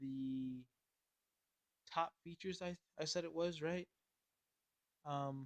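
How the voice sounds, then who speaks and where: At a very slow pace, a man with fairly high pitch speaks with fairly even intonation and long, frequent pauses, in a dry, close sound with no echo. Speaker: gaming youtuber. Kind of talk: tabletop game class review. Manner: hesitant, many fillers.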